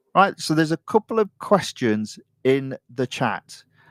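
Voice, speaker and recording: A man speaks very slowly in an East Midlands accent. The sound is dry and close, with no echo. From Nottinghamshire, England. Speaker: gaming live streamer. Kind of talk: casual live stream commentary. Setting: live stream.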